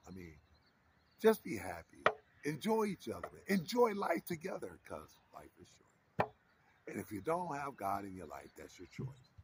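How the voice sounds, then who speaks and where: Here a man speaks at a moderate pace with a fairly high pitch. Vocal fry and very wide pitch swings mark his voice. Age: 60s. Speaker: vlogger. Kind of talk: casual chat. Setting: outdoors. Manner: animated.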